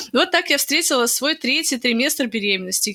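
Amid noticeable background noise, a woman talks at a fairly quick pace in a raised, projected voice. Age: 20s. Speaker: podcast co-host, pregnant woman. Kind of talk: casual chat. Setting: remote call between cities.

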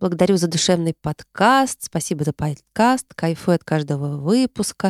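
Heard in a very clean recording with a silent background and a dry, close sound with no echo, a woman in a normal speaking voice talks at a moderate pace with lively intonation. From Tarusa, Kaluga region, Russia. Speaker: podcast host, psychologist. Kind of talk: solo monologue, year-end recap, reading listener messages. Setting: recorded in her hometown. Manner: warm, conversational, friendly.

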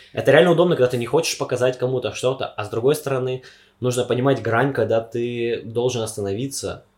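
Talking at a very fast pace, a man with a medium-pitched, somewhat breathy voice keeps his intonation fairly even. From Siberia, Omsk. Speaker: university student. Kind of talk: casual chat.

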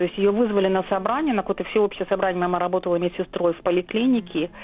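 A woman's voice with ordinary pitch variation. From Soviet Kyrgyzstan, Volga German family. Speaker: historian. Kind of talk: interview. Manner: halting, many fillers.

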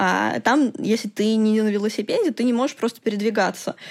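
A woman with an unremarkable speaking voice talks at a fairly quick pace on a very clean recording with a silent background. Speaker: computational linguist. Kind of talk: interview.

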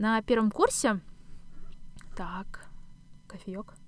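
Fairly even intonation in a woman's medium-pitched voice. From Kazakhstan, Astana. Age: 20s. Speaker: podcast host, doctoral student. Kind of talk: solo podcast monologue.

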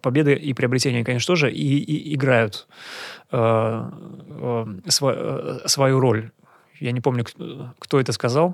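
A man with a medium pitch speaks fairly slowly and with ordinary pitch variation. His pauses are long and frequent. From Kazan, Russia. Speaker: local historian and photographer. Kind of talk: casual interview. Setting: studio. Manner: halting, many fillers.

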